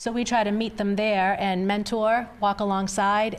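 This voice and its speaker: The woman's intonation is monotone and flat. Her pitch sits at a medium level. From Massachusetts North Shore (Revere, Saugus). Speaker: trafficking survivor and ministry founder. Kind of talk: interview testimony.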